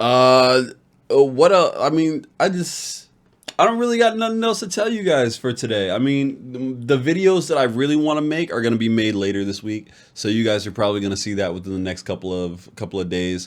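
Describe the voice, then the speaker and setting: A man speaks at a medium pitch with very wide swings up and down. His pace is fairly quick. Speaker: vlogger. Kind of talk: casual vlog. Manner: halting, stuttering.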